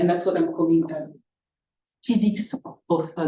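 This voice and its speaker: This woman speaks with a non-native accent at a fairly low pitch. Her tone is dark and mellow, and room echo is audible. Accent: foreign. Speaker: scientist, seminar speaker. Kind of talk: lecture. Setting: seminar room with live and online audience. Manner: halting, many fillers.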